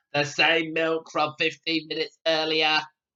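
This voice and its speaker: Put-on character voice at a middle pitch, delivered in a flat monotone. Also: moderate pace. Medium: read story.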